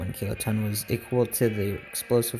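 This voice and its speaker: Over music in the background, a man with a fairly low pitch talks at a moderate pace with fairly even intonation. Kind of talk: documentary-style historical narration.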